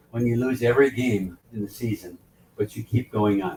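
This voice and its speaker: Over noticeable background noise, a man speaks at a medium pitch and moderate pace with ordinary pitch variation. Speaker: ship director and leadership speaker. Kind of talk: motivational talk. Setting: on board a ship, event venue. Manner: animated.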